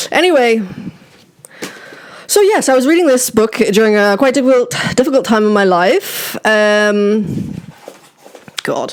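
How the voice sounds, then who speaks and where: The speech comes at a fairly slow pace with long, frequent pauses over noticeable background noise. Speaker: book vlogger. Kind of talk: casual chat. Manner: halting, many fillers.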